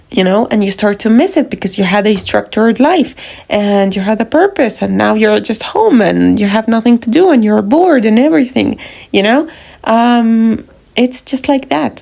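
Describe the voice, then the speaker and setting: Her plain, everyday voice sits at a fairly high pitch, with lively intonation and very even loudness from this woman. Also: moderate pace. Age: 20s. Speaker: self-help podcaster. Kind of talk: motivational talk to camera. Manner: casual, conversational.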